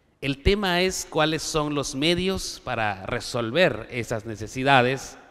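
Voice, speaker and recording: With lively intonation, a man talks while echo from the room is audible. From Guatemala, Maya K'iche' community. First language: K'iche' (Mayan) (speaking Spanish). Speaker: conference panelist on education policy. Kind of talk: conference speech. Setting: auditorium with audience. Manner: formal.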